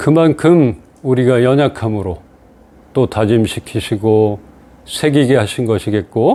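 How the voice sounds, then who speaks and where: At a very slow pace with long, frequent pauses, the voice carries a dark, mellow tone and ordinary pitch variation. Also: man, medium pitch for a man. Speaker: pastor. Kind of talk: sermon.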